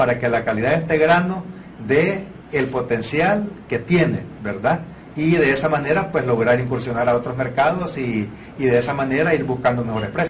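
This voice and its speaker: A man speaks at a moderate pace, with light background noise behind him. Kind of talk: interview answer. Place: meeting room. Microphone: lapel.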